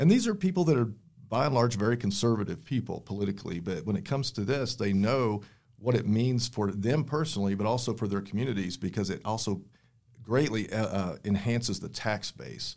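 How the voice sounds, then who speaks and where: A man with a West Texas accent, medium pitch, ordinary pitch variation and a fairly quick pace, in a very clean recording with a silent background. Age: 50s. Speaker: energy company spokesman. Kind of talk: podcast interview. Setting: studio.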